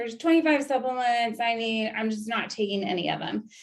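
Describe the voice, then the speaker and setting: In a quiet setting, a woman with a fairly high voice speaks with ordinary pitch variation in an unremarkable speaking voice. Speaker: registered nurse and wellness educator. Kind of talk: online presentation.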